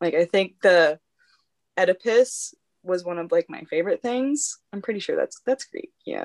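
An unremarkable speaking voice from a woman, moderately paced, with lively intonation, big swings in loudness, and a dry, close sound with no echo. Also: medium pitch for a woman. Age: 20s. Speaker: instagram influencer and clothing brand owner. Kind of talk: casual interview chat.

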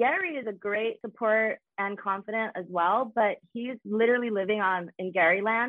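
A woman's normal speaking voice, fairly high, with ordinary pitch variation, at a moderate pace with hardly any pauses. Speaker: reality show cast member guest. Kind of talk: casual chat.

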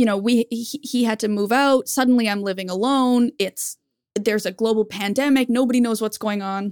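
A woman speaks in a normal speaking voice at a fairly quick pace, her pitch fairly high. Her intonation stays fairly even, and the sound is dry and close with no echo. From Canada. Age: 30s. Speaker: YouTuber. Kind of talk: casual chat.

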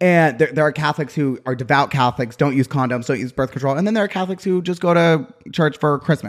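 The speech is very fast, with hardly any pauses and ordinary pitch variation. The recording is very clean with a silent background. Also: man, fairly high pitch for a man. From Utah. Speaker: podcast guest. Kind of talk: casual chat. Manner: energetic.

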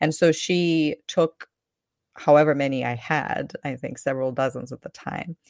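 This woman has a very deep, low voice and fairly even intonation, with big swings in loudness. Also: moderate pace, dry, close sound with no echo. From Ukraine. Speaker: online language teacher. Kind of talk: casual interview chat.

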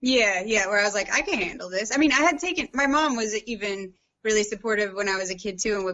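A very fast pace in an American accent, with ordinary pitch variation. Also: woman. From US Midwest, St. Louis, Missouri. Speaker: painter and lawyer. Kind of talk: casual interview.

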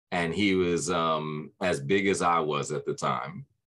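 A man talks in an American accent with a bright, sharp tone. His pitch variation is ordinary, and the background is quiet. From Brooklyn, New York. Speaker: voice actor and author. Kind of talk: casual interview.

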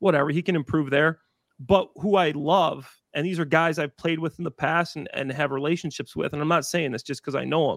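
An American accent marks this man's unremarkable speaking voice, fairly high in pitch and fairly quick in pace. His intonation is fairly even, and the sound is dry and close with no echo. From northern Illinois. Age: 30s. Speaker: former NFL player. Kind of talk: casual chat.

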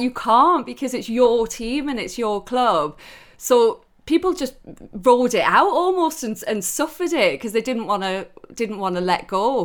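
A woman with a Geordie accent speaks at a moderate pace in a high voice with very wide pitch swings. The recording is very clean, with a silent background. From Newcastle, northeast England. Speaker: sports TV presenter. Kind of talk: podcast interview.

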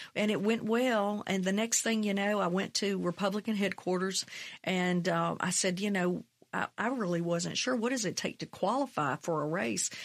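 Someone with a Mississippi accent speaks at a moderate pace with very even loudness and ordinary pitch variation on a very clean recording with a silent background. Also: woman, medium pitch for a woman. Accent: Southern US (Mississippi). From US South, Mississippi. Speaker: state legislator. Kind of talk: interview.

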